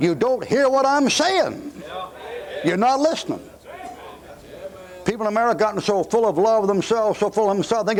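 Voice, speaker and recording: A man shouting in a high voice at a fairly quick pace, with lively intonation and noticeable background noise. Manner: yelling.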